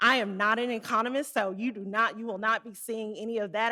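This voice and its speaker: A woman with an American accent speaks in a fairly high pitch. Her tone is bright and sharp, and her intonation stays fairly even. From Arkansas, US South. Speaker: conference speaker, Federal Reserve rural development staff. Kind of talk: conference presentation. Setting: conference room with live and online audience.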